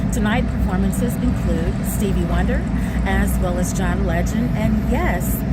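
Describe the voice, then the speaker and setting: Music plays behind a woman with a very deep, low pitch who speaks at a fairly slow pace. Her intonation is monotone and flat, and her loudness stays very even. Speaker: reporter and news anchor. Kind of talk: live field report from a convention site. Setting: outdoors at a live event, helicopters overhead.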